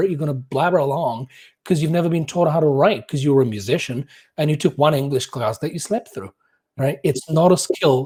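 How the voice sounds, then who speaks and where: A man speaks at a fairly quick pace in a fairly high, somewhat breathy voice with a dark, mellow tone. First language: not English. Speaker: musicologist and professional musician. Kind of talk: casual podcast interview. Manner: animated, with frequent repetitions.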